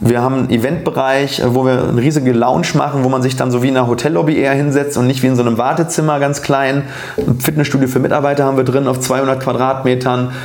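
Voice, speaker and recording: A man at medium pitch talks at a very fast pace with hardly any pauses, fairly even intonation and very even loudness. Audible room echo and noticeable background noise surround him. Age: 30s. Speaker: dentist and oral surgeon, podcast host. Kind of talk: casual interview conversation. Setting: living room with cameras.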